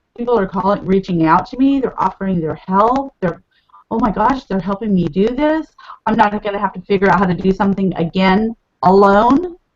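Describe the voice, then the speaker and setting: A woman speaks fairly quickly in an ordinary speaking voice, her pitch medium and its variation ordinary. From California. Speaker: network marketing leader. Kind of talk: interview.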